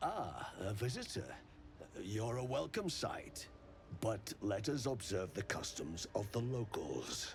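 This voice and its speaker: A man of medium pitch puts on a character voice. Clear background noise can be heard. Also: fairly slow pace. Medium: video game. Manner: courteous, erudite.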